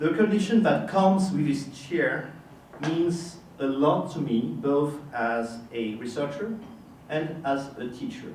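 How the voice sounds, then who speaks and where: A man with a French accent, fairly high in pitch, at a fairly slow pace with lively intonation, amid noticeable background noise and audible room echo. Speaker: history professor. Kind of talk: formal lecture. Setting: lecture hall with audience. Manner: formal.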